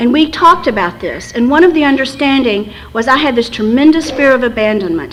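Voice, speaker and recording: A woman with an American accent speaks at a fairly quick pace, her high pitch carried by lively intonation. Noticeable background noise sits behind her. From West Texas. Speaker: recovery fellowship speaker. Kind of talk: recovery talk. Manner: fast.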